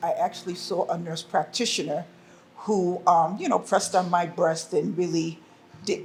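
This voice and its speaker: At a moderate pace, a woman speaks in a fairly low pitch with monotone, flat intonation. Noticeable background noise is present. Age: 60s. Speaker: breast cancer survivor. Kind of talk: personal testimony.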